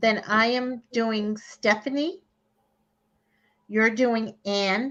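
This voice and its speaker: A woman's fairly high voice in a Boston accent at a very slow pace, with ordinary pitch variation. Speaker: psychic card reader. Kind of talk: live online card reading. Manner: animated, conversational with frequent fillers.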